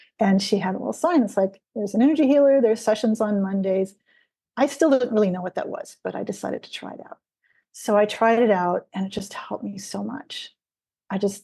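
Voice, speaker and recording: At a fairly quick pace, a woman speaks at medium pitch in a somewhat breathy voice with a dark, mellow tone. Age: 60s. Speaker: energy healer. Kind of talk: interview. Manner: hesitant, with many fillers.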